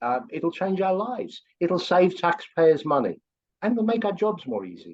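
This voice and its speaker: A man with a strong English accent, high in pitch and lively in intonation. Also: moderate pace. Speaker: course instructor, AI consultant. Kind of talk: promotional video call chat.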